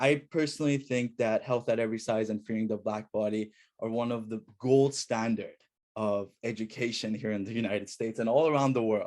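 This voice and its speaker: A man's medium-pitched voice with an Iranian accent, fairly quick and fairly even in intonation, in a very clean recording with a silent background. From Iran, moved to US at 9. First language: Farsi. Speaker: student researcher. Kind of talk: academic presentation.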